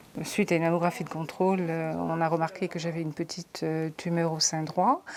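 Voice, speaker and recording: Fairly quick delivery in a monotone, flat intonation. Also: woman, fairly low pitch for a woman. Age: 50s. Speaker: breast cancer patient. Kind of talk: testimony.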